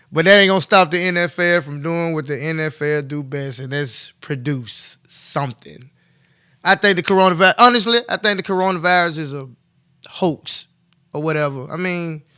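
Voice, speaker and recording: This man's voice is fairly high-pitched, with a bright, sharp tone and ordinary pitch variation. He talks at a moderate pace on a very clean recording against a silent background. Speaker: sports talk show host. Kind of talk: casual sports commentary. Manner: loud; animated.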